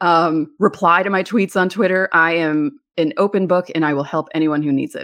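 Against a quiet background, a woman with a fairly low pitch talks at a moderate pace with ordinary pitch variation and hardly any pauses. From New York. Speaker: podcast host and sports writer. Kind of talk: interview conversation.

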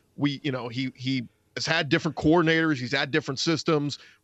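A man speaks at a fairly quick pace in a fairly high pitch with an animated tone. The sound is dry and close with no echo, against a quiet background. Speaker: college sports podcaster. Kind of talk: casual chat. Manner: animated, excitable.

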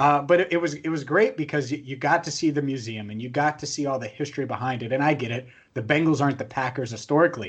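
A man with a fairly high pitch speaks at a very fast pace with hardly any pauses. His voice is somewhat breathy, with ordinary pitch variation. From Cincinnati. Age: 20s. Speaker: sports podcast host. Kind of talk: casual sports talk.

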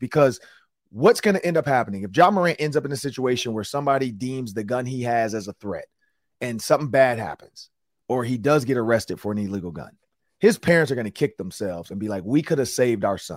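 A man speaks at a very fast pace and medium pitch, animated in tone. His intonation is lively and his loudness swings widely. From US Midwest, Detroit. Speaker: sports podcast host and former athlete. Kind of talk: casual sports talk.

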